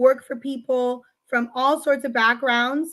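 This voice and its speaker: With an American accent, a woman speaks at a high pitch and a moderate pace, her tone bright and sharp. Her intonation is fairly even, against a quiet background. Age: 40s. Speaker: politician. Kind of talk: interview.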